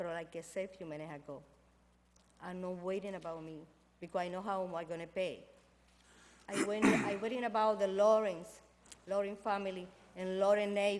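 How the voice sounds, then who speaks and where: With a Spanish accent, a woman of medium pitch talks at a fairly quick pace with long, frequent pauses, fairly even intonation and big swings in loudness, amid audible room echo and noticeable background noise. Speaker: resident speaking at public comment. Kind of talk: public comment at council meeting. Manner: fast.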